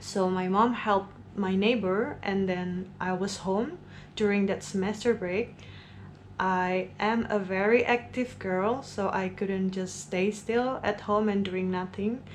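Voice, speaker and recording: In a room with audible echo, a woman speaks at a fairly slow pace with fairly even intonation. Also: medium pitch for a woman. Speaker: vlogger. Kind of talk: storytime monologue.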